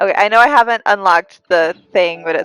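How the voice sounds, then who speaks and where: Music plays in the background while a woman speaks in a dry, close sound with no echo. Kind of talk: live-stream gameplay commentary. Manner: casual, chatty.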